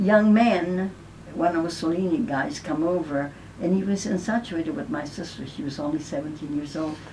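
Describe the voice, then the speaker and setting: A woman's fairly low voice with lively intonation at a moderate pace, amid noticeable background noise and audible room echo. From Italy, Naples. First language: Italian. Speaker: elderly woman sharing her life story. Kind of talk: personal testimony.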